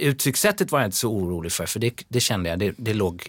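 On a very clean recording with a silent background, a man with an unremarkable speaking voice talks at a fairly quick pace, his fairly low pitch carrying lively intonation. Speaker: dancer and musical performer. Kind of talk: casual interview.

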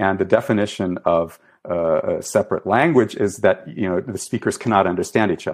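Lively intonation from a man against a quiet background. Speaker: professor of Iranian studies. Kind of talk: academic interview. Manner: hesitant, many fillers, lecturing.

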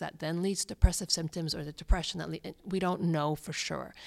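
A woman's normal speaking voice, fairly low in pitch, with fairly even intonation, on a very clean recording with a silent background. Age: 50s. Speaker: clinical psychologist. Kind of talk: interview.

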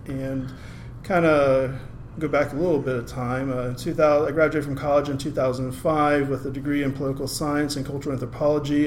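A man with an American accent talks at a fairly quick pace in a medium pitch and a monotone, flat intonation. Noticeable background noise and audible room echo fill the recording. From US, Maryland. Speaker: program manager at a nonprofit employing blind people. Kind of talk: podcast interview.

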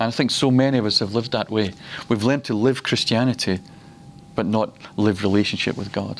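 Speaking in a Glaswegian accent, a man keeps a medium pitch, fairly even intonation and a fairly quick pace. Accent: Glaswegian Scottish. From Scotland, Glasgow. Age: 50s. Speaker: preacher. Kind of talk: teaching session. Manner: halting.

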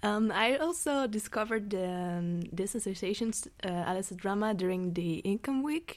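Lively intonation from a woman at medium pitch and a moderate pace. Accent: non-native. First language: not English. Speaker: student actor. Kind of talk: casual chat. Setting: studio.

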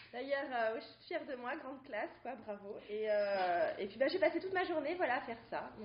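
Speaking at a moderate pace with hardly any pauses, the voice has lively intonation and big swings in loudness over noticeable background noise. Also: woman, high pitch for a woman. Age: 30s. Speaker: stay-at-home mother. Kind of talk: casual chat. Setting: studio.

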